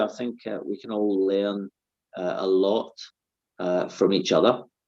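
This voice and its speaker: The tone is dark and mellow. A man talks at a fairly low pitch. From Scotland. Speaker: master barber. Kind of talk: interview. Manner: hesitant, many fillers.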